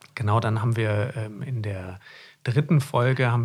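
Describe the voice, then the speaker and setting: This man talks at a moderate pace in a medium pitch with ordinary pitch variation and a somewhat breathy sound. The recording is very clean, with a silent background. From Germany, Hesse. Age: 30s. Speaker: podcast co-host, doctor in GP training. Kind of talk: casual chat. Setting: studio.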